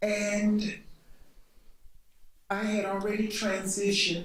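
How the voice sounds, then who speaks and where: A woman with an American accent speaks at a very slow pace. Noticeable background noise and audible room echo surround her. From US South (Montgomery, Alabama). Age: 60s. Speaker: panelist. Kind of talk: panel discussion.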